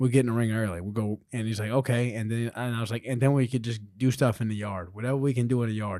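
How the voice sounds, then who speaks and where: On a very clean recording with a silent background, a man with an American accent speaks at a very fast pace in a fairly low pitch with fairly even intonation. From Louisiana, US. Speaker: former pro wrestler and actor. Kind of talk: casual interview chat. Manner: halting with many fillers.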